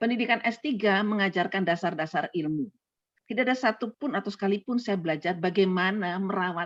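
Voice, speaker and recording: A woman's medium-pitched voice with lively intonation, in a dry, close sound with no echo. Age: 70s. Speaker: retired doctor and lecturer. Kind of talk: casual chat.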